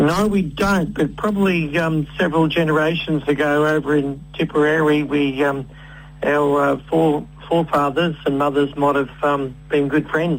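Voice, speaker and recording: A man with an Australian accent and fairly high pitch speaks at a moderate pace with fairly even intonation and very even loudness, with noticeable background noise behind him. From Australia (Victoria, Kilmore East). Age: 70s. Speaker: farmer. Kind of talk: radio interview. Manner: halting, many fillers.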